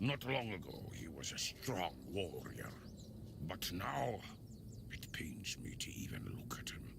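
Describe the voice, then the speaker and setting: A man whispers in a put-on character voice at a fairly slow pace. Loud background noise runs underneath. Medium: video game. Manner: chatty, casual.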